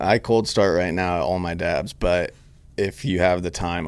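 A man speaks in a very deep, low voice with vocal fry and an American accent. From Northern California, Grass Valley. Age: 30s. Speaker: cannabis extract company founder. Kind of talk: casual chat.

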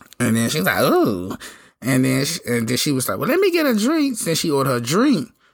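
A man speaks in an animated tone at a fairly quick pace, with audible room echo. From Memphis, Tennessee. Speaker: podcast host. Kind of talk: casual storytelling monologue.

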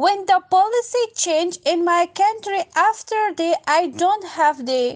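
Set in a dry, close sound with no echo, a woman's extremely high voice moves at a fairly slow pace. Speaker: woman engineer seeking work. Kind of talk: personal appeal, recorded message. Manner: earnest, halting.

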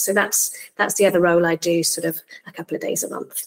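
A woman with a Welsh accent, in dry, close sound with no echo. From South Wales (Barry). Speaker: tech startup founder and CEO. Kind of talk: podcast interview.

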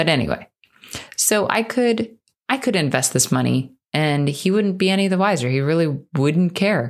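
Her loudness very even, a woman speaks at a fairly low pitch with very wide pitch swings. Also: moderate pace. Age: 30s. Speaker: podcast host and financial coach. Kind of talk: casual monologue. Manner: unscripted, conversational.

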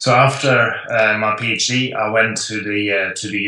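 Against a quiet background, a man with a Dutch accent talks in a bright, sharp tone at a fairly low pitch with monotone, flat intonation. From Netherlands. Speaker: professor, sports nutrition researcher. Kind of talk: interview conversation.

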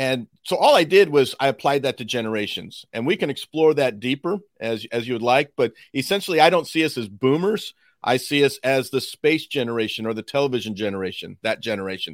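A man with an American accent talks at medium pitch in an unremarkable speaking voice, the sound dry and close with no echo. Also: lively intonation, fairly quick pace. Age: 50s. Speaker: author and former pastor, futurist. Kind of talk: interview.

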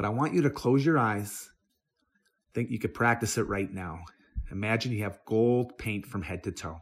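Here a man has a normal speaking voice with a fairly low pitch and ordinary pitch variation. The recording is very clean, with a silent background. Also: moderate pace. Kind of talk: guided meditation. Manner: gentle, instructive, paced and hushed.

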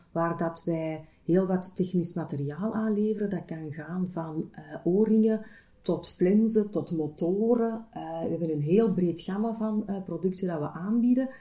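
Somewhat breathy and dark, mellow in tone, a woman speaks at a fairly slow pace in a medium pitch with ordinary pitch variation. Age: 30s. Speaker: HR manager. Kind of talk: interview. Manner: hesitant, many filler sounds.

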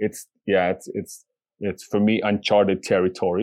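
A man speaks at a moderate pace with a Bolivian accent. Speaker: podcast co-host. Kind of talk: casual chat. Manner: warm, playful.

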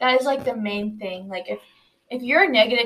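In an ordinary speaking voice, a woman delivers her words fairly quickly. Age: young. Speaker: college student, teacher's daughter. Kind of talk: casual chat.

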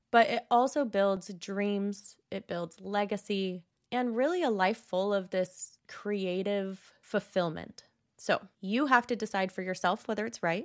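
An ordinary speaking voice, a woman talks at a fairly slow pace with a medium pitch and ordinary pitch variation in a very clean recording with a silent background. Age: 30s. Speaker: architect and podcast host. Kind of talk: solo podcast monologue.

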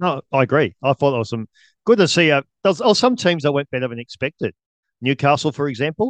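A man with an Australian accent, fairly high pitch and lively intonation at a very fast pace, dry and close with no echo against a quiet background. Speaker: podcast co-host. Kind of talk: casual chat about sport.

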